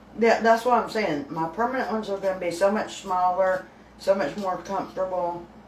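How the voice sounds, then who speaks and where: A woman speaks with a Southern US accent. Noticeable background noise is present. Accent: US South. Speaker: home cooking channel host. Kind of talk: casual live stream chat. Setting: live stream from home kitchen. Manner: slightly muffled, lisping from new teeth.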